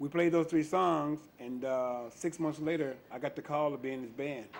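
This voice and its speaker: With an American accent, a man talks at a moderate pace in a normal speaking voice that sits fairly high and keeps fairly even intonation. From US South, Memphis, Tennessee. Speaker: blues bass player. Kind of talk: interview.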